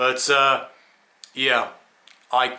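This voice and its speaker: A man's medium-pitched voice in an English accent. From England. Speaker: skeptic commentator vlogger. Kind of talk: casual rant monologue. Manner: stammering, repeats words.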